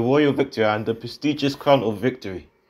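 At a moderate pace and medium pitch, a man speaks in an unremarkable speaking voice against a quiet background. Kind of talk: game trailer voice-over.

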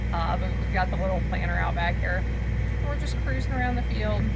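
Loud background noise surrounds a woman's voice. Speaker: farm wife vlogger. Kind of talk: casual vlog chat. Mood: cheerful, playful. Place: farm machine. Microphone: phone near.

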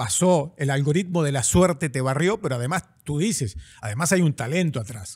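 A man's fairly high, somewhat breathy voice, lively intonation, moderate pace, and a quiet background. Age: 50s. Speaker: podcast host. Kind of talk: interview, casual chat. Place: studio. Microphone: studio mic.

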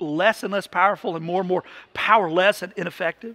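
A man's raised, projected voice, bright and sharp in tone, at a fairly quick pace over a quiet background. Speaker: pastor. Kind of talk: sermon. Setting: church. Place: church.

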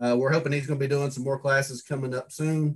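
A man is speaking. His fairly high-pitched voice stays monotone and flat. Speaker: club meeting host. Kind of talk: meeting announcements. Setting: video call.

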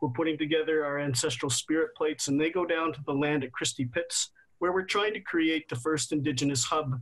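A man talks at a fairly quick pace and fairly high pitch, with fairly even intonation. He has an ordinary speaking voice, and the background is quiet. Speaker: guest. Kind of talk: panel discussion. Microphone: video call.

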